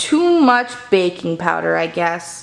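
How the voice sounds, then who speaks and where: A woman's put-on character voice, fairly low in pitch, at a fairly slow pace. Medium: read story. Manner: eager, excitable.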